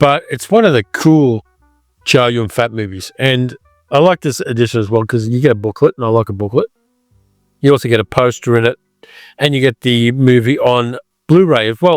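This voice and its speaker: At a fairly quick pace but with long, frequent pauses, the speaker uses an Australian accent and ordinary pitch variation, in a dry, close sound with no echo and music in the background. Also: man, medium pitch for a man. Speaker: film reviewer. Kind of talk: casual talk to camera.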